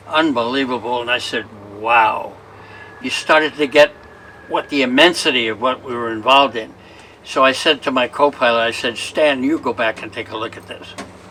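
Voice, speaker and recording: A man of medium pitch speaks at a moderate pace with fairly even intonation and big swings in loudness, amid noticeable background noise. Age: 90s. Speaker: war veteran. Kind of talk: interview.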